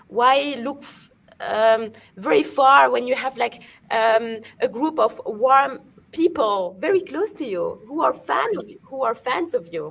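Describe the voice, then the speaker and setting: A high-pitched woman's voice in a French accent, at a fairly slow pace, with very wide pitch swings and big swings in loudness. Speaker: digital marketing expert. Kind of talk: webinar panel discussion. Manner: halting, many fillers.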